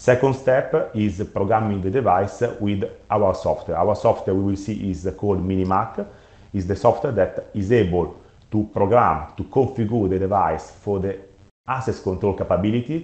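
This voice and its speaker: A somewhat breathy man's voice moves at a moderate pace. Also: ordinary pitch variation. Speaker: product manager. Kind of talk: webinar presentation. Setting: online webinar. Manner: halting, many fillers.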